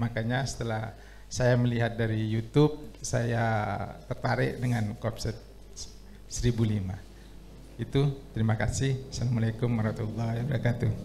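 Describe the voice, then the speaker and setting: A man's medium-pitched voice, dark and mellow with vocal fry, at a moderate pace and with fairly even intonation. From East Java (Situbondo). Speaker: farming training participant. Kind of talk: self-introduction. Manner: halting.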